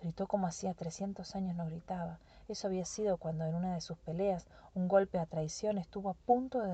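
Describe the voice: Plain reading aloud, nothing more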